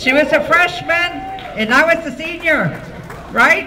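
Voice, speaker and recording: A woman with an American accent speaks very slowly in an extremely high, raised, projected voice. Noticeable background noise and audible room echo fill the recording. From Texas. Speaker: school alumna. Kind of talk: banquet speech. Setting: banquet hall with audience.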